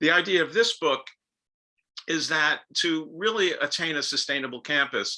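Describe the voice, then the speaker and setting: A man with a slight New York accent, bright, sharp tone, fairly high pitch, ordinary pitch variation, moderate pace and long, frequent pauses. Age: 70s. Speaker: author and professor. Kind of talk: lecture. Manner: speeds up when excited.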